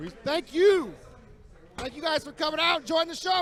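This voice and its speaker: An extremely high-pitched man's raised, projected voice at a moderate pace, with ordinary pitch variation and noticeable background noise. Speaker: ring announcer. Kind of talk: ring announcement to live crowd. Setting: outdoors, live event.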